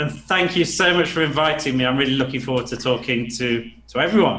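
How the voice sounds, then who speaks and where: Over noticeable background noise and audible room echo, a man with a northern English accent speaks fairly quickly at a medium pitch with ordinary pitch variation. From England, Nottingham. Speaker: business coach. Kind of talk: podcast interview.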